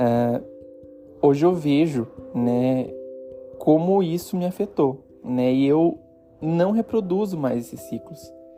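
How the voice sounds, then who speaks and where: Music plays in the background as a man with a fairly high pitch speaks very slowly, leaving long, frequent pauses. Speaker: podcast host. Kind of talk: reflective personal podcast monologue.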